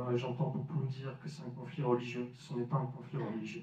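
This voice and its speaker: There is audible room echo around a man speaking with fairly even intonation against a quiet background. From France, Lille; France. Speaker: Franco-Palestinian activist speaker; speaker. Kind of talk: public debate talk. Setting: village hall with audience. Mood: earnest, serious. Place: hall. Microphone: handheld.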